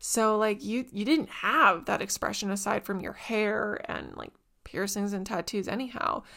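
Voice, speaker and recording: In a Canadian accent, a woman speaks at a moderate pace with a bright, sharp, animated tone, medium pitch, ordinary pitch variation and vocal fry. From Canada, small town. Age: 20s. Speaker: podcast host. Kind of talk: casual chat.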